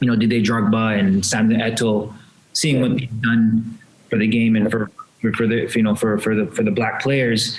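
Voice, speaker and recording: Noticeable background noise surrounds a man at medium pitch. He keeps a moderate pace, a monotone, flat intonation and very even loudness. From Canada. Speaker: retired footballer, club president. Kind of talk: casual interview chat. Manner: halting, many repetitions.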